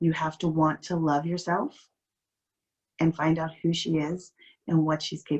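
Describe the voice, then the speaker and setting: Soft-spoken and fairly low in pitch, a woman keeps a moderate pace and a monotone, flat intonation, with long, frequent pauses. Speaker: life coach. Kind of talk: motivational talk.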